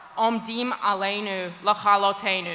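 A woman's bright, sharp tone at a fairly high pitch, with a fairly slow pace and fairly even intonation. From Scotland. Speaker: journalist and activist against anti-Semitism. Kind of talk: conference plenary speech. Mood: earnest, impassioned. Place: hall. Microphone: podium.

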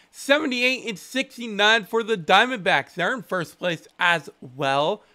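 Against a quiet background, a man uses a raised, projected voice with lively intonation and a bright, sharp tone. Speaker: gaming streamer. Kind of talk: gameplay commentary. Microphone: headset.

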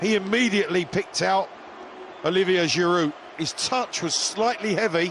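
A man with a high voice speaks at a moderate pace and fairly even intonation while noticeable background noise runs underneath. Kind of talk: live football co-commentary. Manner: analytical, measured, fluent with praise.

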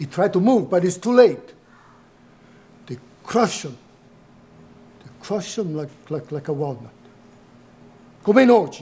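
A man puts on a character voice, pitched high for a man and dark and mellow in tone, with big pitch swings. He talks at a slow pace with long, frequent pauses.

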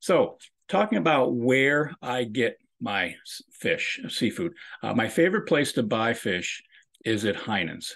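Here a man talks with very wide pitch swings. The background is quiet. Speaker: host of an online nutrition talk. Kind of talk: casual presentation to a call audience. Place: home room. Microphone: video call.

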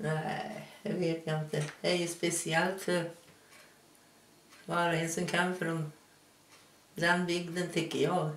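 In a Hälsingland accent, the speaker goes at a very slow pace with long, frequent pauses, amid audible room echo and light background noise. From Hälsingland, Sweden. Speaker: local resident interviewed about dialect. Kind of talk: interview answer. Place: kitchen.

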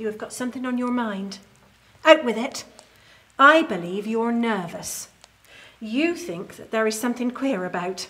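Here a woman talks at a moderate pace and fairly high pitch, with lively intonation. Her loudness swings widely, and she leaves long, frequent pauses. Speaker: historical character actor. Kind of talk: ghost story telling, period drama. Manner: hushed, grave Victorian tale-telling; formal, genteel. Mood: eerie, suspenseful storytelling. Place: home room.

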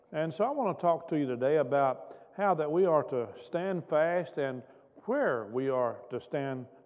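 The background stays quiet while a man speaks at a fairly slow pace. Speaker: pastor. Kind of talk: sermon. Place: church. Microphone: podium.

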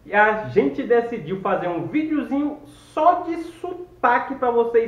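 A man with a Cearense accent, with audible room echo. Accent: Cearense Northeastern Brazilian. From Ceará, Brazil. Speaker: travel vlogger. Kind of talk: casual talk to camera. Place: home room. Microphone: phone near.

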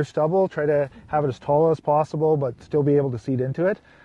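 The sound is dry, with no echo. A man speaks at a moderate pace in a somewhat breathy voice. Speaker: guest. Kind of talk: interview answer. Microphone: lapel.

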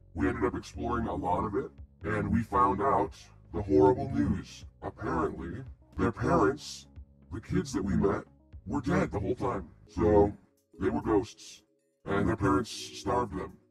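Using a put-on character voice at a fairly low pitch, a man talks at a moderate pace with long, frequent pauses, as faint music plays in the background. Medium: actual play. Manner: blunt, earnest.

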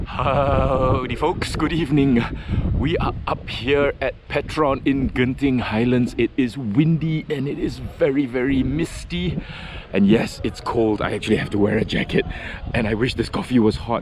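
A man at a moderate pace with ordinary pitch variation, a dry sound with no echo, and noticeable background noise. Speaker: car vlogger. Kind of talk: casual vlog chat. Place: station. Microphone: phone near.

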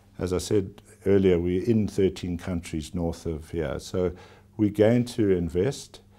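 A man speaks at a very deep, low pitch with a South African accent and a dark, mellow tone. His pace is fairly slow, with ordinary pitch variation. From South Africa (KwaZulu-Natal). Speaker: company chief executive. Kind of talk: formal TV interview. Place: office. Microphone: lapel.

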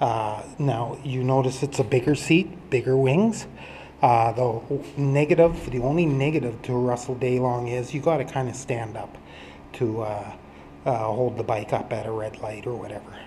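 A man's voice with ordinary pitch variation at a moderate pace, over light background noise. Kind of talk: casual show-and-tell walkthrough. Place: garage. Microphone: phone near.

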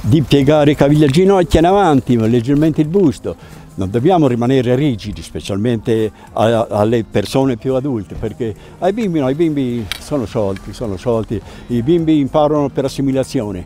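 Faint music sits in the background as a man talks at a fairly quick pace, the sound dry with no echo. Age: 80s+. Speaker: ski instructor. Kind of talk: interview and storytelling. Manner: halting, with fillers and repetitions. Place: open country.

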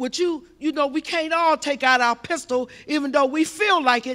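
A woman's high voice at a moderate pace over a quiet background. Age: 60s. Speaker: audience member. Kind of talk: audience question. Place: hall. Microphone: handheld.

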